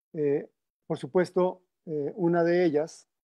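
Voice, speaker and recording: Fairly even intonation in a man's fairly high voice. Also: quiet background. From Mexico. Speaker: music and recordings researcher; panelist. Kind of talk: presentation. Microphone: video call.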